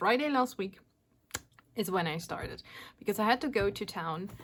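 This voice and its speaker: Her pitch swinging very widely around a medium level, a woman speaks with a German accent. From Germany. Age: 40s. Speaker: craft YouTuber. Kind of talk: casual vlog talk. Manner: hesitant, many fillers.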